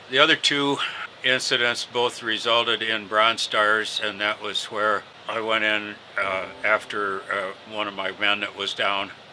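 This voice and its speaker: Over noticeable background noise, a man speaks in a fairly low voice with fairly even intonation and an American accent. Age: 70s. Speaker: war veteran. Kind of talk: interview testimony. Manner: halting, many fillers.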